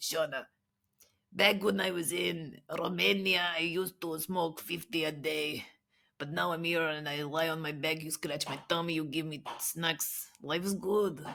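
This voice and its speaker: A raspy, put-on character voice in a Russian accent, middle pitch, moderate pace, very clean recording with a silent background. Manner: relaxed, content.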